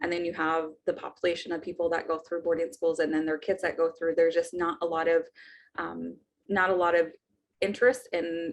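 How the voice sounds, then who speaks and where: Fairly quick and fairly even in intonation, a woman talks at a fairly low pitch. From Navajo Nation, Arizona. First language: Navajo. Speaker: naturopathic doctor and doula. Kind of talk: personal storytelling interview.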